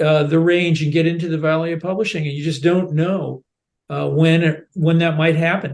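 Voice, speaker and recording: A man talks at a moderate pace with a fairly high pitch. His intonation is monotone and flat. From United States. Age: 70s. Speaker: novelist. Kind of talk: podcast interview.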